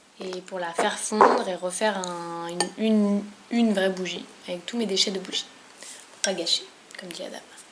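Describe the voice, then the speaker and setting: With noticeable background noise, a woman at medium pitch speaks at a moderate pace, using long, frequent pauses, big swings in loudness and fairly even intonation. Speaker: vlogger. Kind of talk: tutorial.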